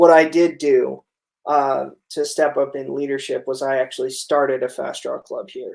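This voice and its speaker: Big swings in loudness from a man, at a medium pace. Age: 30s. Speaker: livestream interview host, former teacher. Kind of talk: casual interview livestream. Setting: livestream. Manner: hesitant, many fillers.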